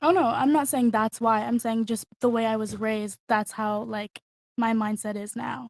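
A woman with an unremarkable speaking voice and an American accent talks at a moderate pace and a fairly high pitch with fairly even intonation, the sound dry and close with no echo. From San Diego, Southern California. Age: 20s. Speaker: interior designer and student. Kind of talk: casual chat.

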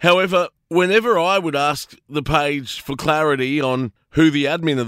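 A man with an Australian accent and a fairly high pitch, in a dry, close sound with no echo. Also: very clean recording, silent background. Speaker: radio host. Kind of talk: radio commentary.

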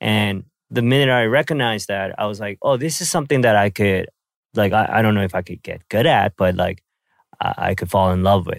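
Recorded very cleanly with a silent background, a man with a Korean accent speaks at a fairly low pitch and a fairly quick pace, with ordinary pitch variation. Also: dry, close sound with no echo. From South Korea, then Vancouver, Canada. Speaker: podcast host and rapper. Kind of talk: casual chat. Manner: hesitant, many fillers.

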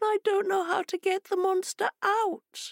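A woman uses a put-on character voice. It is squeaky and extremely high-pitched. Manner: crying, distressed.

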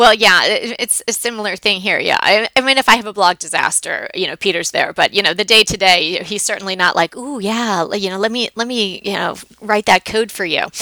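A woman has a normal speaking voice, a fairly high pitch and an American accent. She talks at a moderate pace with fairly even intonation in a dry, close sound with no echo. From New York. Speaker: podcast host, decorating blogger. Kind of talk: casual chat, podcast conversation.

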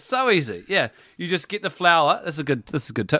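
On a very clean recording, dry and close with no echo and a silent background, a man with a New Zealand accent speaks at a very fast pace with lively intonation and a bright, sharp tone. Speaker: parenting podcast co-host. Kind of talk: casual chat.

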